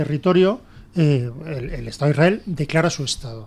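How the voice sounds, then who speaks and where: A man talks with ordinary pitch variation. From Spain. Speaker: political commentator; radio panelist. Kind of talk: panel debate. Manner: halting. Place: studio.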